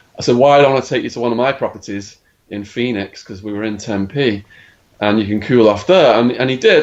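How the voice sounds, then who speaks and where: A man's medium-pitched voice with an English accent, lively intonation and a moderate pace. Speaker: former drug dealer telling his life story. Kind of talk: podcast interview, storytelling. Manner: animated.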